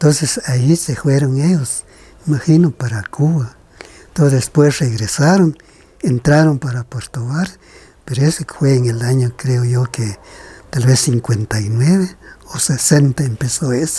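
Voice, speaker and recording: With a Guatemalan accent, a man speaks at a fairly slow pace and medium pitch, his pitch varying in an ordinary way. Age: 70s. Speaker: kite maker. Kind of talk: interview.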